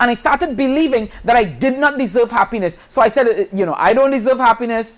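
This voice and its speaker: With lively intonation, a man speaks at an extremely high pitch. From Trinidad. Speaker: guest speaker at church. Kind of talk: devotional talk, personal testimony. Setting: outdoor church courtyard with audience. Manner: conversational, with repetitions and stammers.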